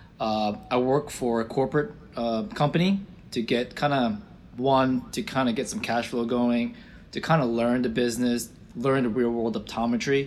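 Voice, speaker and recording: A man with a normal speaking voice and medium pitch talks at a moderate pace with ordinary pitch variation. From Florida, US (born in Israel). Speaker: optometrist and practice owner. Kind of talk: interview.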